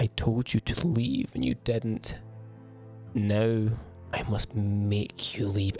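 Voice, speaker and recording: With music in the background, a man puts on a booming character voice at a medium pitch, going at a very slow pace with long, frequent pauses. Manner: angry, menacing.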